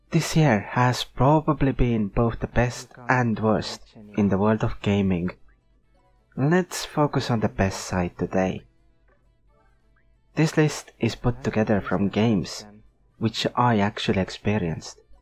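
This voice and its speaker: Over music in the background, a man at a medium pitch speaks at a fairly slow pace with long, frequent pauses, lively intonation and very even loudness. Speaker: gaming video creator. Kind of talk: unscripted game review narration.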